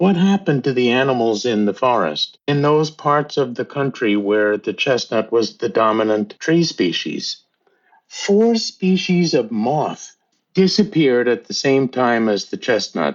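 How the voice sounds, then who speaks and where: Here a man speaks at a fairly slow pace. His pitch swings very widely. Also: medium pitch for a man. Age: 60s. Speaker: teacher and tree conservation volunteer. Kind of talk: interview.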